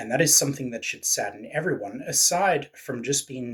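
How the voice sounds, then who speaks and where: A man talks with a British accent. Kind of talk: political commentary to camera.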